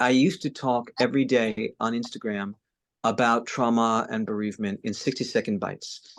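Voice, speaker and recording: The man's voice comes through over a quiet background. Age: 60s. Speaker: trauma and bereavement trainer. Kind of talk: casual chat. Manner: halting.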